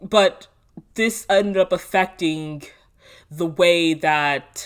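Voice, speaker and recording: Very clean recording with a silent background, carrying a woman's voice. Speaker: vlogger. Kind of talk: personal storytelling monologue. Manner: casual, with frequent fillers; unedited, talking off the cuff.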